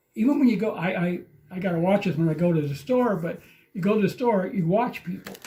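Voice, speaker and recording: A man speaks very fast in a high voice, his intonation lively. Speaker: actor and film director. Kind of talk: podcast interview. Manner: halting.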